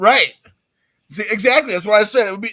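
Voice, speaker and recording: A bright, sharp tone with very wide pitch swings, in an American accent. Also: man. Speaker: sports podcast co-host. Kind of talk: casual chat. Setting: live stream.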